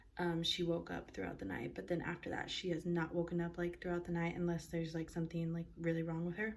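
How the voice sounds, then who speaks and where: A woman's fairly low voice carries a somewhat breathy quality. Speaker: mom vlogger. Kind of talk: casual vlog talk to camera. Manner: fast.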